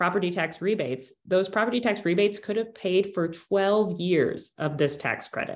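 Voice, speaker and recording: A woman with an ordinary speaking voice talks fairly quickly at a medium pitch, her intonation lively. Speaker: policy researcher. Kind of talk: interview.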